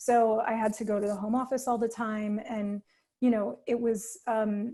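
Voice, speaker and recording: A woman with an American accent, fairly high pitch, a dark, mellow, somewhat breathy tone, monotone, flat intonation and a moderate pace, on a very clean recording with a silent background. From New York. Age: 40s. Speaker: artist. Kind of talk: casual chat.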